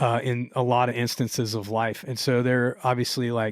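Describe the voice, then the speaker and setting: A man speaks in a medium pitch with an American accent and monotone, flat intonation. The recording is very clean, with a silent background. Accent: southern US (redneck). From Louisiana. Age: 40s. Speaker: musician and songwriter. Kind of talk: casual podcast interview. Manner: casual, filler-heavy, repeats words.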